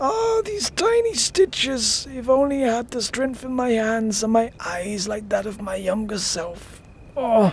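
This put-on character voice sits at a fairly high pitch and moves at a fairly slow pace. Background noise is clearly audible.

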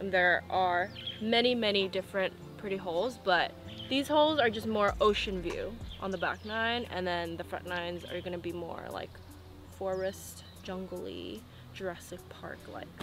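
Clear music sounds in the background. A woman speaks at a moderate pace, in a dry sound with no echo. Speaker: golf vlogger. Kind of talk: casual vlog chat. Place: open country.

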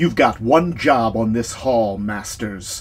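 Using a put-on character voice at medium pitch, a man speaks fairly slowly. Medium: read story. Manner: barking, curt, commanding.

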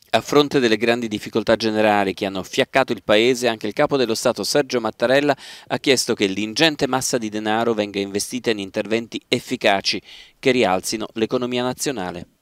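A man with an ordinary speaking voice and medium pitch talks at a fairly quick pace with fairly even intonation. The recording is very clean with a silent background and a dry, close sound with no echo. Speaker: news reporter. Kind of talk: news reading. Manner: formal.

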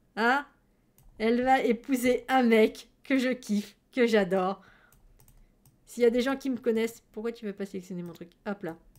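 Against a quiet background, a woman speaks in an animated tone at a fairly slow pace, with ordinary pitch variation, big swings in loudness, and long, frequent pauses. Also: fairly high pitch for a woman. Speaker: streamer. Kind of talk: casual chat. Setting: livestream. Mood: playful, enthusiastic. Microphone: headset.

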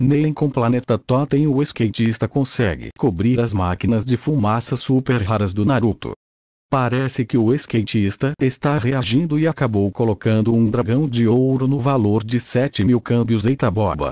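In a dry, close sound with no echo and a quiet background, a man with a Brazilian accent speaks in a dark, mellow tone at very even loudness. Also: medium pitch for a man, ordinary pitch variation, moderate pace. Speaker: gaming commentator. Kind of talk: playful gaming commentary, mock sports-style narration of a Habbo trade duel. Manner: animated, exaggerated, joking.

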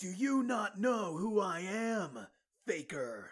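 A man speaks in a put-on character voice. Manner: arrogant, intense.

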